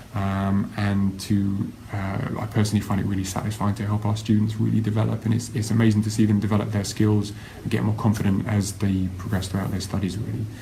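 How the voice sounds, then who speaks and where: Over noticeable background noise and audible room echo, a man with an English accent talks at a fairly quick pace in a monotone, flat way. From England, Kent. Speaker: university lecturer. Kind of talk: live-streamed talk. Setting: Facebook live stream. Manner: hesitant, many fillers.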